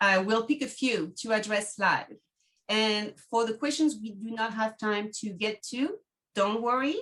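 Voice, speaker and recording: A bright, sharp tone in a French accent, at a moderate pace with ordinary pitch variation. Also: woman. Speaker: travel agent, podcast host. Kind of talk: webinar presentation.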